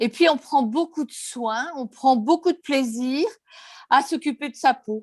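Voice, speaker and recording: A woman is talking. Her pace is very slow. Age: 60s. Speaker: customer giving testimonial. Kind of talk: testimony.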